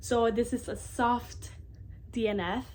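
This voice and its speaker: A woman talks with vocal fry. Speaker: book youtuber. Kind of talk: casual vlog monologue. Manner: fast; animated.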